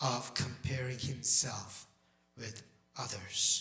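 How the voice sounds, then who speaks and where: Music plays in the background. Over it, a man talks at a very slow pace. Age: 60s. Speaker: pastor. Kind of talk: sermon. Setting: church. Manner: halting.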